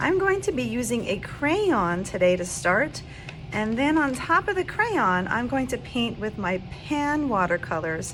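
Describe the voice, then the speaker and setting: Over noticeable background noise, a woman talks at a fairly slow pace with a fairly high pitch. Her pitch swings very widely. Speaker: art teacher. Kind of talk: tutorial.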